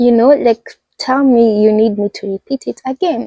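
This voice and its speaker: In a Kenyan accent, a woman with a fairly high pitch and a dark, mellow tone talks fairly slowly with ordinary pitch variation, the sound dry and close with no echo. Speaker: vlogger. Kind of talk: casual chat. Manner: animated.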